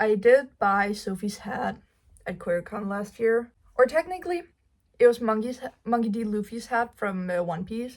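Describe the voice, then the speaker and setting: With a Danish accent, a woman speaks at a moderate pace in a fairly high pitch, her lively intonation paired with big swings in loudness. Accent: Danish accent, non-native English. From Denmark. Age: 19. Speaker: cosplay YouTuber. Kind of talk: casual get-to-know-me vlog, Q&A.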